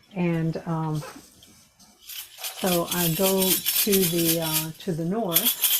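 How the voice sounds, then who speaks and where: A woman's very slow, monotone, flat delivery full of long, frequent pauses, over noticeable background noise. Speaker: ceremony leader. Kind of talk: group sharing circle; spiritual ceremony.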